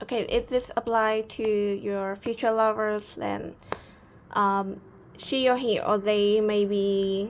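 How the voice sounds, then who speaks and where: Delivered at a very slow pace, the speech has a non-native accent and a monotone, flat intonation. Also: woman. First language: not English. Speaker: tarot reader. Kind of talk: tarot reading to camera. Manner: calm, soothing.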